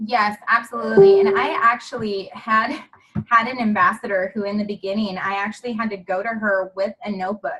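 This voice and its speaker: Here a woman speaks at a medium pitch with ordinary pitch variation. Her tone is bright, sharp, and animated, and her pace fairly quick. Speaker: network marketing team leader. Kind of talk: group call training. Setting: conference call. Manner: gets louder when excited.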